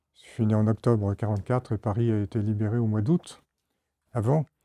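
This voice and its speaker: A man speaks in a dark, mellow tone. The recording is very clean with a silent background, and the sound is dry and close with no echo. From France, Isère (Grenoble area). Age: 70s. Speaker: retired diplomat. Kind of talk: testimony. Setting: classroom with children. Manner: halting.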